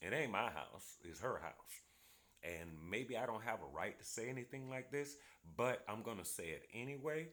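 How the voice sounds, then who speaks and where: A man speaks at a moderate pace with a medium pitch, a bright, sharp tone and some vocal fry. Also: lively intonation. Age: 60s. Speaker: retired veteran, vlogger. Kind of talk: casual monologue vlog. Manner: halting, with fillers.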